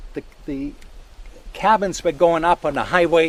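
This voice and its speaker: With a German accent, a man speaks at a fairly high pitch. His pace is moderate, with ordinary pitch variation. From Germany. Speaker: landowner and forest steward. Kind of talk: outdoor talk to a tour group.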